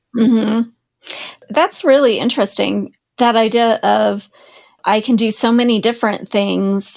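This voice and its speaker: The speech moves at a fairly slow pace with long, frequent pauses. Intonation stays fairly even. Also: woman, fairly high pitch for a woman, very even loudness. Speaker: podcast host. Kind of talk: podcast interview.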